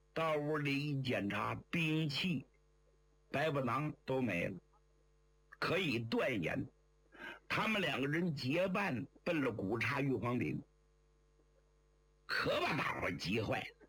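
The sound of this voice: A man at medium pitch, fairly bright in tone, slow-paced, with big pitch swings, long and frequent pauses, and audible room echo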